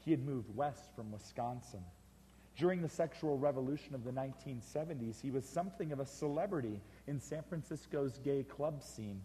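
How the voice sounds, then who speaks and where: A man's somewhat breathy, dark, mellow voice at a medium pitch and fairly quick pace, with ordinary pitch variation. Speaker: author and speaker telling a personal story, one of the roadshow authors. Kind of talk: storytelling / personal anecdote from a book, spoken to an audience.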